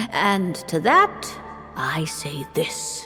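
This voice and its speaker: A female-sounding voice performs a cartoonish character voice over clear music in the background. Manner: measured, knowing.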